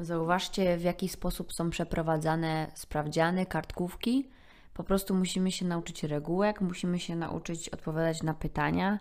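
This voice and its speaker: In an unremarkable speaking voice, a woman talks at a moderate pace with fairly low pitch and fairly even intonation. The recording is very clean and the background silent. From Poland. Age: 20s. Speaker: podcaster. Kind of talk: solo monologue podcast.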